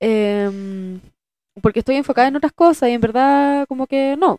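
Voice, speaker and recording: In a Chilean accent, a woman speaks with a dark, mellow tone, the sound dry and close with no echo. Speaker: podcast co-host, actress. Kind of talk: casual chat.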